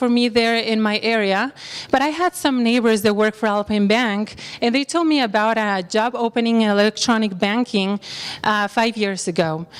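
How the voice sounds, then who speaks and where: Over noticeable background noise, a woman with a Spanish accent speaks at a moderate pace with a fairly high pitch and ordinary pitch variation. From Mexico. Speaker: bank employee. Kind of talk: career talk.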